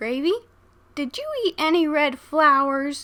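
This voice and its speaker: A woman uses a put-on character voice at a high pitch. She speaks at a fairly slow pace. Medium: read story. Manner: warm, motherly.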